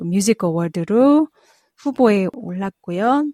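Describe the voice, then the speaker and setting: Her voice has a dark, mellow tone at a medium pitch, and the sound is dry and close with no echo. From South Korea. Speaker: jazz vocalist and professor. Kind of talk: interview. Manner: halting, many fillers.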